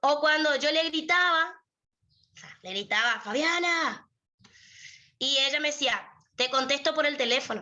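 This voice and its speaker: Raising and projecting her voice, a woman with a bright, sharp tone and high pitch speaks at a fairly slow pace, taking long, frequent pauses, with big swings in loudness and ordinary pitch variation. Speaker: lawyer and university prep tutor. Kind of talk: lecture.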